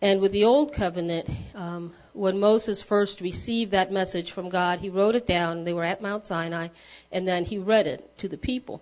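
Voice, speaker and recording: A woman with an unremarkable speaking voice talks at medium pitch and a moderate pace with ordinary pitch variation. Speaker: lay church leader. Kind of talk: sermon. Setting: church.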